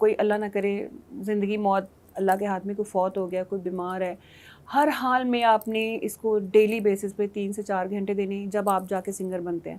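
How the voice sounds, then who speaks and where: At a medium pitch, a woman delivers her words with monotone, flat intonation. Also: moderate pace. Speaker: singer and former model. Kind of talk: TV talk show interview.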